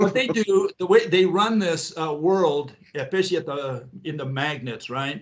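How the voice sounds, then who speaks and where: Speaking at a moderate pace with hardly any pauses, this voice has lively intonation over noticeable background noise. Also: man, fairly high pitch for a man. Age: 60s. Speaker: physics theorist, former spy. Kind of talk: interview.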